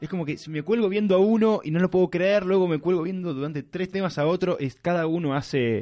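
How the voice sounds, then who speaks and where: Speaking at a very fast pace with hardly any pauses, a man talks in a high pitch. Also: ordinary pitch variation. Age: 20s. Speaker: radio host. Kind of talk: radio show.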